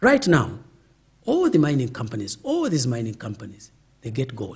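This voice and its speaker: A man's fairly high voice comes across as somewhat breathy. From Zambia, Northeast. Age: 70s. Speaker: veteran politician. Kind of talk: interview. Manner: animated.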